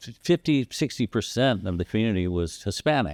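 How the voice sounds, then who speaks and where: A man with an American accent speaks in a plain, everyday voice at a moderate pace, his fairly low pitch carried by lively intonation in a very clean, silent-background recording with a dry, close sound and no echo. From Texas, Corpus Christi. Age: 60s. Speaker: podcast host. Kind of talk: casual chat.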